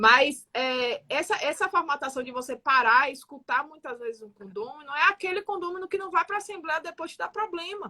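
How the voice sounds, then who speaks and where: With a raised, projected voice, a woman speaks at a moderate pace in a high pitch. Her tone is bright and sharp, and her loudness swings widely. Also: lively intonation. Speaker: building manager. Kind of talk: radio talk show discussion.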